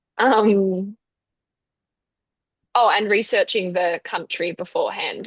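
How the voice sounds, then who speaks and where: A woman with an Australian accent and a medium pitch. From Australia, Melbourne. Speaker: university student. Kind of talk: casual chat. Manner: hesitant, many fillers.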